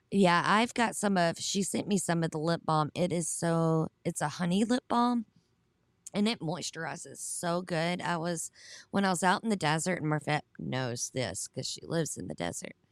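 Speaking at a moderate pace with a Southern US accent, this voice shows ordinary pitch variation in a very clean recording with a silent background and a dry, close sound with no echo. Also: woman, fairly low pitch for a woman. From US South. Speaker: online Bible study host. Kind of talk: livestream Bible study with chat. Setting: live stream.

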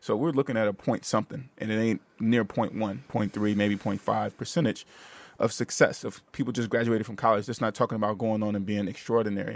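At a fairly quick pace and with fairly even intonation, a normal speaking voice comes through a very clean recording with a silent background. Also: man, fairly low pitch for a man. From Vallejo, California. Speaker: podcast host. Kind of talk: interview. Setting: studio.

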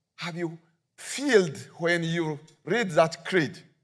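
A man talks in a fairly high pitch. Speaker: guest preacher. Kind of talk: sermon. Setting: church. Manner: halting.

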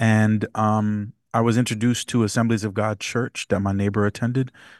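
In a dry, close sound with no echo and a quiet background, a man with an American accent speaks in a fairly low, monotone, flat voice. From New York City (Bronx), Jamaican parents. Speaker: worship pastor. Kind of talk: casual interview.

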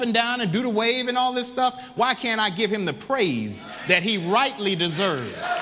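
An animated tone at a moderate pace amid noticeable background noise. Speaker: preacher. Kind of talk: sermon. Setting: church. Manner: animated, call-and-response preaching, urging the congregation to say amen; fervent, emphatic.

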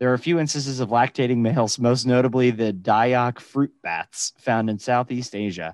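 Speaking at a moderate pace, a man with a medium pitch and ordinary pitch variation has a plain, everyday voice. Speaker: podcast co-host. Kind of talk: casual chat.

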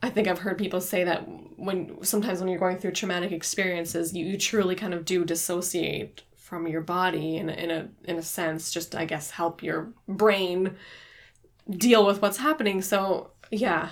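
A woman talks at a moderate pace in a normal speaking voice. Her medium pitch follows fairly even intonation. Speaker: podcast co-host, book club. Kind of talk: casual book discussion.

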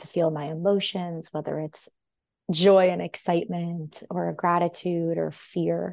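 A woman speaks with a Californian accent and fairly even intonation. Her pitch is fairly low. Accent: Californian American English. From US West Coast, Los Angeles. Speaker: intuitive dancer and holistic healer. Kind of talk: podcast interview conversation; reading aloud.

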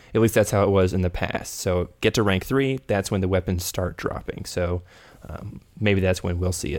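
This man has a very deep, low pitch and an American accent, keeping his intonation fairly even. He goes at a moderate pace on a very clean recording with a silent background. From Texas. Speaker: podcast co-host and gamer. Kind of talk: casual podcast chat.

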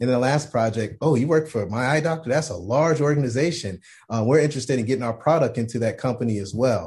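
In a quiet background, a man with a medium pitch and a somewhat breathy voice speaks at a very fast pace with hardly any pauses and ordinary pitch variation. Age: 30s. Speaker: optometrist. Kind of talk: casual chat.

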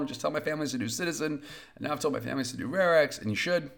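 Very fast speech with vocal fry. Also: man. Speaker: podcast host of weekly rare disease briefing; parent advocate of child with rare disease. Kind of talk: solo weekly briefing monologue. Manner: fast-talking.

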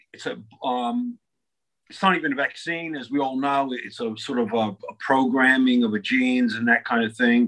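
An ordinary speaking voice from a man with an American accent, medium pitch, ordinary pitch variation, a moderate pace and big swings in loudness. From United States. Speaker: media channel host with legal background. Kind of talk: casual chat.

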